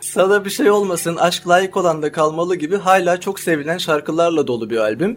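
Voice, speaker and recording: With noticeable noise behind him, a man speaks in a high voice with lively intonation. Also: moderate pace, hardly any pauses. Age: 20s. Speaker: podcast host. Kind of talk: interview.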